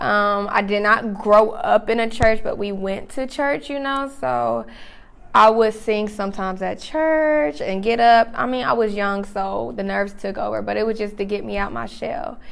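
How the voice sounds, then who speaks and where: A woman with an American accent at a moderate pace, with medium pitch, lively intonation and audible room echo. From North Carolina, Charlotte. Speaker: singer. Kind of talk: interview.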